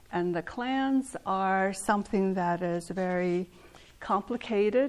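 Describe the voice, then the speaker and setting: Against a silent background on a very clean recording, a woman with a Southwestern US accent speaks at medium pitch and a very slow pace. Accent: Navajo-accented English. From Navajo reservation, northern Arizona. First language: Navajo. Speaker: artist and weaver giving a talk. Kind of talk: lecture.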